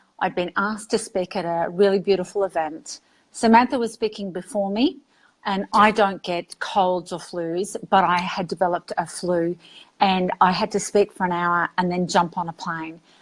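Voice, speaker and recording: At a moderate pace, a woman with a medium pitch and fairly even intonation speaks in a dry, close sound with no echo on a very clean recording with a silent background. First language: Greek and Arabic. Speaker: author and educator. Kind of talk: interview.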